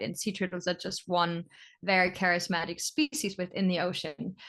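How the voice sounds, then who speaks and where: With a German accent, a woman talks at a fairly quick pace and medium pitch over a quiet background. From Germany. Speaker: sea turtle biologist. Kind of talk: interview.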